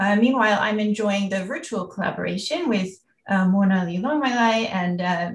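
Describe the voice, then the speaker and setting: A somewhat breathy woman with an American accent, at a moderate pace. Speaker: university researcher, anthropologist. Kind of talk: lecture. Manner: hesitant, many fillers.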